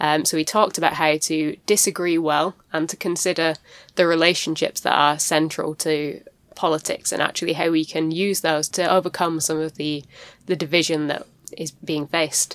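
A woman's very deep, low voice in a monotone, flat intonation. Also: moderate pace, very clean recording, silent background. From Bolton, northern England. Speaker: podcast co-host, parliamentary intern. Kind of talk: casual discussion.

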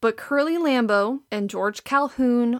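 Speaking at a very slow pace in a Wisconsin accent, a woman has a fairly high pitch and ordinary pitch variation, with a dry, close sound and no echo. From Wisconsin, Green Bay. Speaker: podcast host, art history PhD student. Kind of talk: scripted narration.

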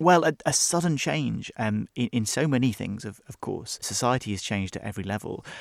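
A man with a British accent at medium pitch, lively intonation, fairly quick pace and hardly any pauses, with a dry, close sound with no echo and a very clean recording over a silent background. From UK. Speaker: journalist and author. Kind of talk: interview.

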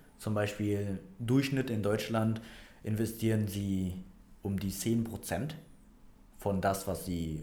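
Audible room echo surrounds a man's voice. He speaks with fairly low pitch at a very slow pace. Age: 20s. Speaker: financial planner and personal trainer. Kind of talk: casual interview. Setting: office. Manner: hesitant, many fillers.

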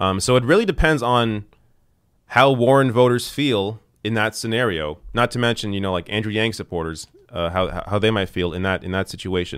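This man has a normal speaking voice, fairly low in pitch, moving at a fairly quick pace with ordinary pitch variation. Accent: Canadian. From Canada. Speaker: political commentator. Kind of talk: live stream commentary.

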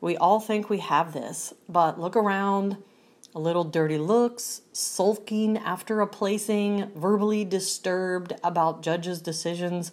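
In an ordinary speaking voice, a woman talks at medium pitch with fairly even intonation and a fairly slow pace. The recording is very clean, with a silent background. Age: 40s. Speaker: pro fitness competitor. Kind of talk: personal testimony monologue.

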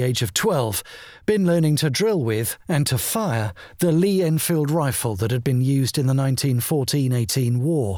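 At a moderate pace, a man with a plain, everyday voice speaks at medium pitch, his intonation lively and his loudness very even. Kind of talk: memoir audiobook reading, first-person wartime recollection. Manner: measured, wry, dry humour, storytelling.

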